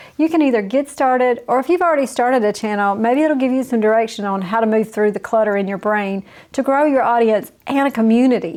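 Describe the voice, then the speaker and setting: Very fast and fairly high-pitched, a woman talks in a Southern US accent. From US South. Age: 50s. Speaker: YouTube coach. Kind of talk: tutorial. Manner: casual.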